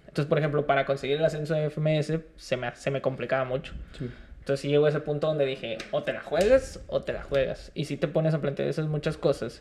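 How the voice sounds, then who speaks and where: This man's voice is fairly high in pitch and somewhat breathy. He talks at a very fast pace with fairly even intonation. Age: 20s. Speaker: rapper and freestyler. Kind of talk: casual interview chat. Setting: studio.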